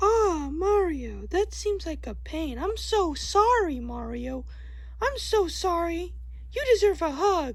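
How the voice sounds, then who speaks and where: A female-sounding cartoonish character voice with a gentle tone speaks at a fairly slow pace amid noticeable background noise. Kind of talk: puppet parody skit voice acting. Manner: sympathetic, gentle.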